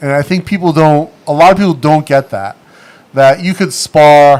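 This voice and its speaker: A man with a New England accent, fairly high-pitched, at a moderate pace with ordinary pitch variation. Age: 40s. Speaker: livestream host and former pro boxer. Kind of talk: casual chat. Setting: studio livestream. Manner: animated.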